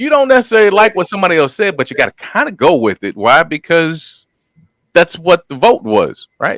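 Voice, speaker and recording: The loud voice has a bright, sharp tone with vocal fry, racing at a very fast pace through very wide pitch swings in a dry, close sound with no echo. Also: man. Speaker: podcast co-host, former college football player. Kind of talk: casual chat. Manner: halting.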